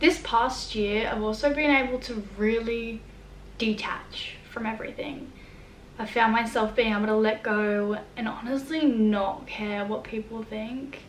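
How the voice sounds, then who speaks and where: At a fairly slow pace, a woman with an Australian accent speaks in a fairly high pitch with fairly even intonation. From New South Wales, Australia. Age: young. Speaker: vlogger. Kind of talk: casual talk to camera.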